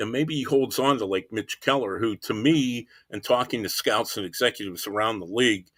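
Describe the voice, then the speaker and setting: Speaking at a fairly quick pace with hardly any pauses, a man has an ordinary speaking voice at a medium pitch with ordinary pitch variation, on a very clean recording with a silent background. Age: 60s. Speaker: baseball writer. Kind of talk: podcast interview.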